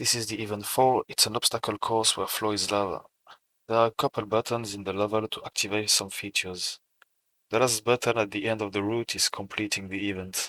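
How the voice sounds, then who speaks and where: In a French accent, a man with a fairly low pitch speaks at a fairly quick pace in a bright, sharp tone and monotone, flat intonation, on a very clean recording with a silent background and a dry, close sound with no echo. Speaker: self-taught game developer. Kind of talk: portfolio walkthrough narration.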